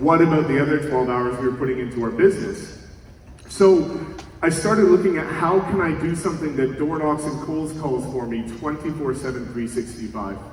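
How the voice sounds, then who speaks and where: Against noticeable background noise and audible room echo, a man with a fairly high pitch speaks with lively intonation. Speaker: real estate coach and keynote speaker. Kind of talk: conference keynote talk. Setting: stage with audience. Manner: fast; energetic.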